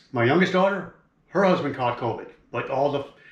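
Audible room echo carries this man's voice. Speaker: fishing vlogger. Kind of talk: casual vlog chat. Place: home room. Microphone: camera far.

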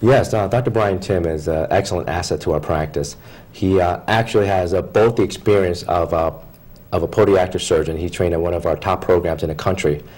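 A man with a very deep, low voice speaks at a fairly quick pace in an American accent, sounding somewhat breathy. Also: fairly even intonation. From Philadelphia, Pennsylvania; Pennsylvania. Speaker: foot and ankle surgeon; guest. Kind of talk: TV interview. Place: studio. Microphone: lapel.

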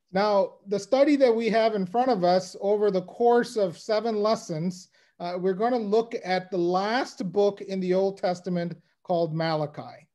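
Over a quiet background, a man with a high pitch and a dark, mellow tone speaks at a moderate pace with ordinary pitch variation. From United States. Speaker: lay Bible teacher. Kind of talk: Bible lecture. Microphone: video call.

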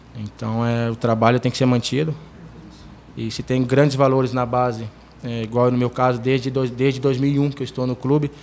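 Over light background noise, a man talks at a moderate pace with a medium pitch and a monotone, flat intonation. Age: 20s. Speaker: football goalkeeper. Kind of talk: press conference. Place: meeting room. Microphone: podium.

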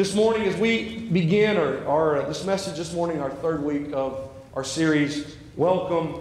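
A man speaks at a fairly slow pace with very wide pitch swings. Room echo is audible. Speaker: interim pastor. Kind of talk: sermon. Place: church. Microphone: lapel.

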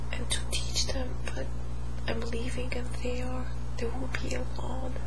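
A woman speaks at a fairly slow pace. Loud background noise is present. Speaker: hypnosis client. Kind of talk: hypnosis session answers. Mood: emotional, pained at times. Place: home room.

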